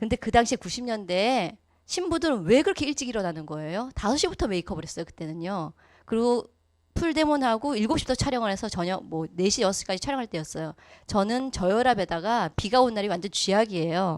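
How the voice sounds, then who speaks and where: A woman speaks at a very fast pace in a fairly high pitch, with very wide pitch swings. The recording is very clean, the background silent. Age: 40s. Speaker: network marketing business speaker. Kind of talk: motivational lecture.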